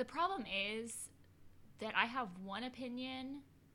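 Her voice bright and sharp, a woman speaks at a fairly slow pace with ordinary pitch variation. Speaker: podcast co-host. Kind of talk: casual chat.

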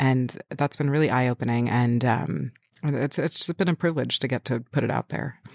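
A woman speaks with an American accent at a very deep, low pitch, with vocal fry and ordinary pitch variation. The sound is dry and close, with no echo. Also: moderate pace. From New York City (Manhattan). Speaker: cookbook author. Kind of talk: interview conversation.

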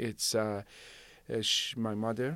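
A man with a Persian accent and medium pitch talks at a moderate pace in a very clean recording over a silent background. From Iran, Shiraz. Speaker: city manager. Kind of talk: interview. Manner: halting, many fillers.

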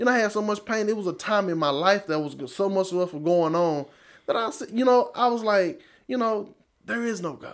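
Speaking with an East Texas accent, a man with a high pitch talks at a fairly quick pace with lively intonation. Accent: East Texas Southern US. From East Texas, Marshall. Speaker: church member giving testimony. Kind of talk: testimony.

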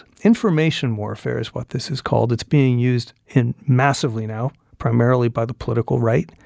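A plain, everyday voice from a man with an American accent, medium in pitch with ordinary pitch variation, at a fairly quick pace in a dry, close sound with no echo. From Arizona (Phoenix). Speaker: author and journalist. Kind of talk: interview conversation. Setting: on a university campus.

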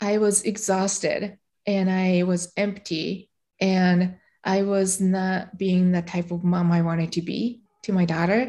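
In a very clean recording with a silent background, a woman speaks with a Japanese accent at a fairly slow pace. Her medium-pitched voice has a dark, mellow tone and a monotone, flat intonation. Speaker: meditation teacher and podcaster, former legal professional. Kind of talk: casual interview chat, personal storytelling.

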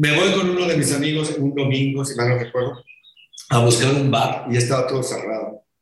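Fairly quick pace, ordinary pitch variation and audible room echo. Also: man, fairly high pitch for a man. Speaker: rock drummer. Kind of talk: interview.

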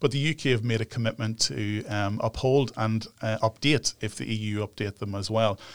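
In a Northern Irish accent, a man speaks at a moderate pace and medium pitch with ordinary pitch variation and hardly any pauses. The sound is dry and close with no echo, on a very clean recording with a silent background. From Northern Ireland, near Newry. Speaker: human rights organisation director. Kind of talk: interview. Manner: hesitant, many fillers.

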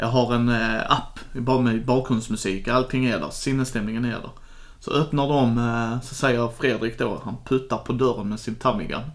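With a plain, everyday voice, a man talks at a moderate pace and a medium pitch. His intonation stays fairly even throughout. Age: 30s. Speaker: podcast co-host, truck driver and board game fan. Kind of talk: casual chat.

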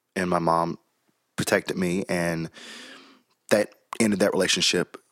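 With an American accent, a man speaks at a fairly slow pace in a very deep, low voice with fairly even intonation and a dry, close sound lacking echo. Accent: Southern, mostly masked. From US South, Chattanooga, Tennessee. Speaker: pastor. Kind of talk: casual interview.

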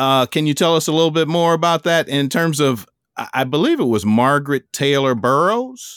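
An ordinary speaking voice belongs to a man who talks at a moderate pace with fairly high pitch and lively intonation, recorded very cleanly against a silent background. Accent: American. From Chicago. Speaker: podcast host and author. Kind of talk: interview.

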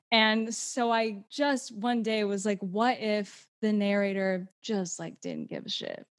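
A woman with an American accent and a plain, everyday voice speaks at a fairly slow pace and fairly high pitch, with fairly even intonation, on a very clean recording with a silent background. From Houston, Texas. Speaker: actor and TikTok creator. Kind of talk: casual interview chat.

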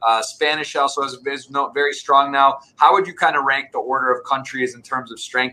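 Speaking at a moderate pace, a man with a fairly high pitch has an unremarkable speaking voice. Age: 30s. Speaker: poker podcast host. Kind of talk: interview.

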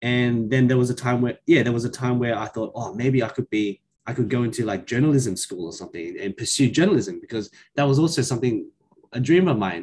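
Delivered at a very fast pace with an Australian accent, the speech has ordinary pitch variation. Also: man, medium pitch for a man. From Western Sydney, Australia. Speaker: primary school teacher. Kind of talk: casual chat.

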